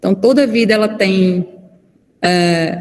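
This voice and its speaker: A woman speaks at a medium pitch. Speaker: physician and lecturer. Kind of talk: online lecture.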